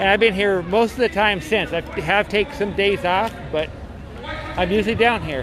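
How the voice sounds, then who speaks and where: Music plays in the background as a man speaks at a moderate pace. His voice is high, with ordinary pitch variation. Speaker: protest livestreamer. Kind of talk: casual vlog narration at protest. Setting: outdoors at street protest. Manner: rambling, halting with fillers.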